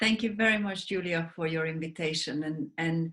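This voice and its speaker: A woman with a Hungarian accent sounds somewhat breathy and uses ordinary pitch variation. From Hungary. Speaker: sleep advocate, wellness mentor, author. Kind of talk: interview.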